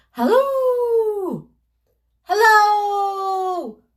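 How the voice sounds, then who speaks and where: An extremely high-pitched, squeaky put-on character voice. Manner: long howling call.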